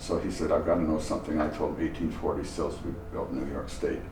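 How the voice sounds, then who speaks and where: Noticeable background noise and audible room echo surround this recording. A man with a Canadian accent talks at a fairly quick pace. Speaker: antique fire truck collector. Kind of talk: interview.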